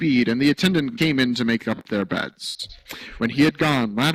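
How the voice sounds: A natural reading voice carries lively intonation.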